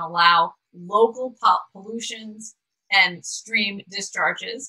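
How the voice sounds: A woman in a New York accent speaks with ordinary pitch variation.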